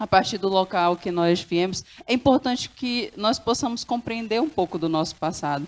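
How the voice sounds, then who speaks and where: Her intonation is lively. The woman speaks fairly slowly. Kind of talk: panel talk. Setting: stage with audience.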